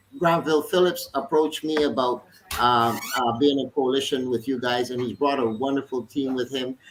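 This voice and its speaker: Background noise is noticeable behind a man's voice. He speaks at a moderate pace and medium pitch. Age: 60s. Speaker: politician. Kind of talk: panel discussion. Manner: animated.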